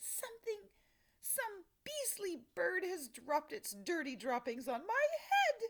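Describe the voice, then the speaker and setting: In a put-on character voice, a female-sounding voice squeaks at an extremely high pitch with very wide pitch swings and a fairly slow pace. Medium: read story. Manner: sneering, shrill.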